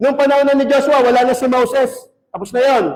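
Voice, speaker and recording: An animated man talks fairly quickly in an extremely high pitch. His voice carries audible room echo. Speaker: pastor. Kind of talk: sermon.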